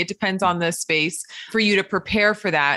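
A woman's enthusiastic voice, bright and sharp in tone, at a fairly quick pace. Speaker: podcast host. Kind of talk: interview.

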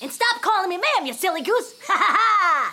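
Using a put-on character voice, a woman talks at a fairly quick pace in an extremely high pitch. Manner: cheerful, exaggerated.

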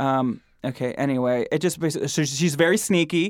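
In an American accent, a man with a fairly high pitch speaks with lively intonation on a very clean recording with a silent background. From US Midwest, Michigan. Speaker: podcast host. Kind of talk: casual chat. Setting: studio.

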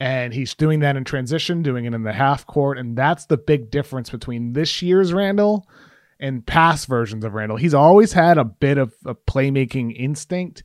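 A man with an American accent speaks in an ordinary speaking voice at a fairly high pitch and moderate pace with lively intonation, on a very clean recording with a silent background and a dry, close sound with no echo. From Massachusetts (Brockton, south of Boston). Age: 30s. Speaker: sports writer. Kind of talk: casual interview chat.

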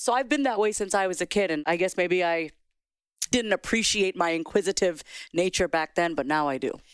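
In a plain, everyday voice, a woman of medium pitch talks at a fairly quick pace with lively intonation, captured dry and close with no echo on a very clean recording with a silent background. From US, child of Indian immigrants. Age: 40s. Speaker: therapist and self-expression coach. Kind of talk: casual interview chat.

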